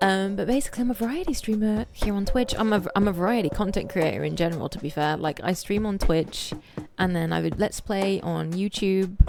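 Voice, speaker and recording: A woman's animated, medium-pitched voice at a fairly quick pace, with ordinary pitch variation amid noticeable background noise. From England, Birmingham. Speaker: streamer. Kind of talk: casual chat. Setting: live stream.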